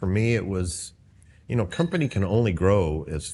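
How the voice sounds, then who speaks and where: With an American accent, a man speaks in a very deep, low, somewhat breathy voice with ordinary pitch variation. His pace is moderate, and the background is quiet. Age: 60s. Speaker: pest control business owner. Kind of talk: casual interview. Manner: halting.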